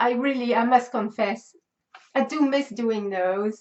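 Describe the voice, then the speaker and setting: A loud woman's voice, high in pitch, at a fairly slow pace with ordinary pitch variation. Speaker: crochet and knitting youtuber. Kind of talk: casual chat.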